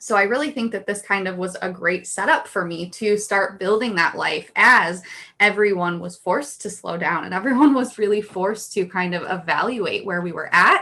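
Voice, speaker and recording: At a moderate pace and with hardly any pauses, a woman speaks in a medium-pitched voice with ordinary pitch variation. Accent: American. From upstate New York. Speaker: business owner, brand designer. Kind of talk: podcast interview. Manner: conversational, many fillers.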